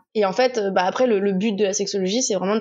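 A woman's medium-pitched voice moves fairly quickly, her intonation fairly even. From Touraine, France. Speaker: sexology specialist. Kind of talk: casual interview.

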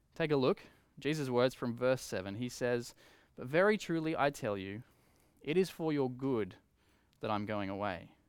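Lively intonation marks this man's medium-pitched voice with an Australian accent. He talks at a moderate pace on a very clean recording with a silent background. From Australia, Coffs Harbour NSW. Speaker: preacher. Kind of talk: sermon. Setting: empty church, livestream.

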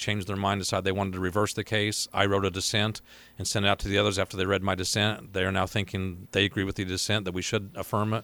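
A man's bright, sharp voice in an American accent, monotone and flat, at a very fast pace on a very clean recording with a silent background. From southern Illinois, Hamilton County. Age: 50s. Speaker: appellate judge and candidate. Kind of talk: interview. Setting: studio.

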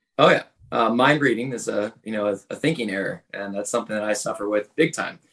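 Using a normal speaking voice, a man talks fairly quickly at medium pitch with ordinary pitch variation. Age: 30s. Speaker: podcast co-host friend. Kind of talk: casual chat.

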